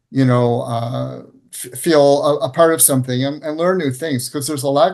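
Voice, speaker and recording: A man's voice at a medium pitch. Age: 60s. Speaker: plant advocate and nonprofit director. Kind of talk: interview. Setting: video call. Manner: halting, many fillers.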